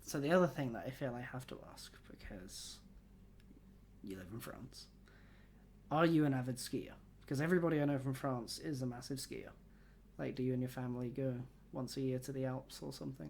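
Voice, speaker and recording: Someone with a British accent speaks at a fairly quick pace broken by long, frequent pauses. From UK. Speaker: podcast host. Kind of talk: casual interview chat.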